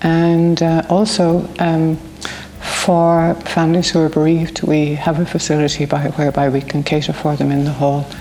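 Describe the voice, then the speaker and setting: Over noticeable background noise, a woman with a rural Irish accent speaks at a moderate pace and a very deep, low pitch with fairly even intonation. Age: 70s. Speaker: community volunteer, award winner. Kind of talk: interview testimony.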